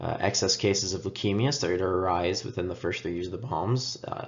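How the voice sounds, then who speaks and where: A man speaks with a very deep, low pitch and a somewhat breathy voice. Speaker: student. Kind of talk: class presentation. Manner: hesitant, many filler sounds.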